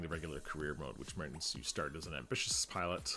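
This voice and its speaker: A man talks calmly at a fairly quick pace. Music plays in the background. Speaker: gaming video creator. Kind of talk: gameplay commentary.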